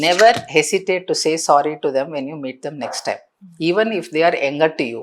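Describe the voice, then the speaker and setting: In an Indian accent, a woman talks at a fairly quick pace. Her intonation is lively. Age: 60s. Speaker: counselor. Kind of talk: podcast interview answer.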